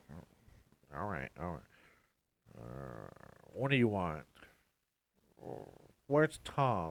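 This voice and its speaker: In a put-on character voice, a man talks at a very slow pace with a very deep, low pitch, very wide pitch swings, and long, frequent pauses. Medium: actual play. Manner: hesitant, easily distracted.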